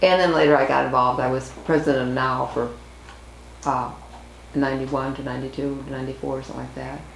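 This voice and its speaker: Against noticeable background noise and audible room echo, a woman with an American accent speaks at a very fast pace in a very deep, low pitch, with fairly even intonation and long, frequent pauses. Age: 70s. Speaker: activist. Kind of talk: oral history interview.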